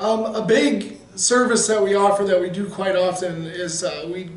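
Audible room echo surrounds a man who speaks at a moderate pace in a high pitch. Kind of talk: interview answer. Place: meeting room. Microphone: camera far.

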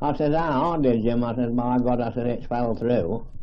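A man speaks at a medium pitch and a fairly slow pace with an East Midlands accent. The background is quiet. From Leicestershire, England. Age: 80s+. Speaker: elderly village resident. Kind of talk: oral history interview answer. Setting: archival field recording. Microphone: old recording.

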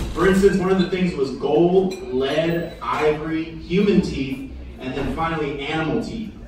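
A man speaks at a moderate pace with high pitch and ordinary pitch variation. There is light background noise and strong room echo. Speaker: stand-up comedian. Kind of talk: stand-up comedy. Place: bar.

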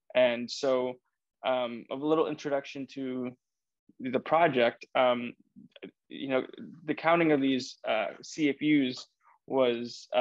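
A man with an American accent and monotone, flat intonation, dry sound with no echo, quiet background. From Iowa, US Midwest. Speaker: research technician; guest. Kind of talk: technical presentation. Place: office. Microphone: video call.

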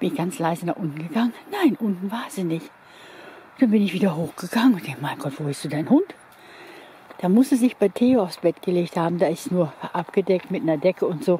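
Her intonation lively and her pace fairly quick, a woman talks in a dry setting with no echo and light background noise. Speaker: dog owner vlogger. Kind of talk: casual vlog chat. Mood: warm, affectionate. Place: open country. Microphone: phone near.

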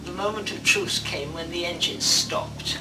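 A woman's voice over loud music in the background. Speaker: WWII civilian survivor. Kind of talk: interview answer. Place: home room.

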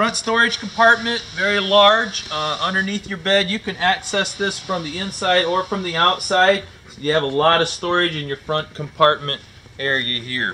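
A man's raised, projected voice at a moderate pace, with big swings in loudness and ordinary pitch variation. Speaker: RV salesman. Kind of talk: product walkthrough tutorial. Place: hall.

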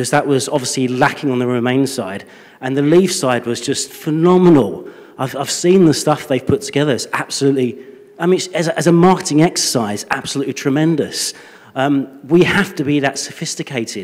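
Speaking with a Yorkshire accent, a man keeps a fairly quick pace. His pitch variation is ordinary. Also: fairly high pitch for a man. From Leeds. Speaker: audience member. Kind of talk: audience question. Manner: loud. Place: hall. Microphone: handheld.

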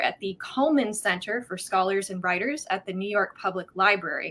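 A woman at a moderate pace with lively intonation. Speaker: host of the conversation. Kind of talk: introduction of a guest. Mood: warm, friendly. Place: home room.

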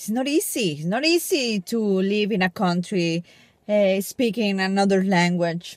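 A woman with a Mexican accent speaks at a fairly slow pace and medium pitch, with ordinary pitch variation. The sound is dry with no echo, and the background is quiet. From Mexico. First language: Spanish. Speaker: vlogger. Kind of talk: casual vlog talk to camera. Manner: upbeat, chatty. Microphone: phone near.

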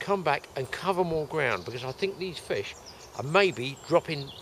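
A man at a moderate pace, light background noise behind him. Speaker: fishing show host. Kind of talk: casual vlog chat. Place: waterside. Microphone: phone near.

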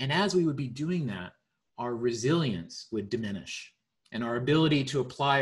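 A somewhat breathy male voice with ordinary pitch variation over a quiet background. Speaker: presenter. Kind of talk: explanatory presentation. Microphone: video call.

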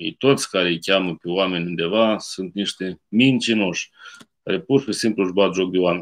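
A man's very deep, low voice at a moderate pace against a quiet background. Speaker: priest. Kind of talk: sermon. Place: home room. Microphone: webcam.

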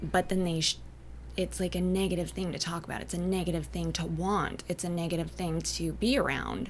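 A woman with an American accent talks at a fairly quick pace over light background noise. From Northern California, Humboldt County; Northern California. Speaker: artist and entrepreneur; podcast guest. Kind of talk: casual interview chat. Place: studio. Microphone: studio mic.

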